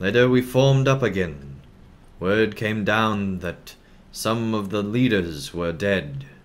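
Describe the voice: Plain out-loud reading, pitch varying in an ordinary way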